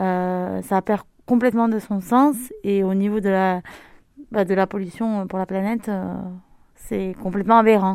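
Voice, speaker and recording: At a fairly slow pace, a woman of medium pitch talks with fairly even intonation and long, frequent pauses. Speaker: local shop owner. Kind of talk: interview. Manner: halting, many hesitations.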